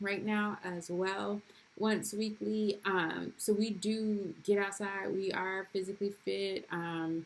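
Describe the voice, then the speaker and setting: A woman's voice at medium pitch, with monotone, flat intonation. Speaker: homeschooling mom vlogger. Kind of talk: casual vlog talk to camera. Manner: casual with many fillers.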